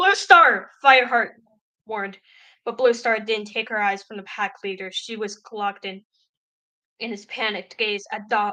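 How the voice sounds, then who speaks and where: Her tone is bright and sharp. The woman speaks at a moderate pace and a medium pitch. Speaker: streamer reading a book aloud. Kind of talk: reading aloud. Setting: live stream. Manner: halting, stumbles and repeats words.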